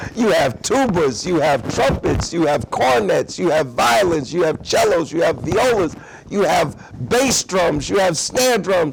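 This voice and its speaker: Against noticeable background noise, a man with a high pitch talks at a fairly slow pace with very wide pitch swings, very even loudness and hardly any pauses. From Newark, New Jersey, US. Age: 60s. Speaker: activist. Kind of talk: interview. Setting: high school.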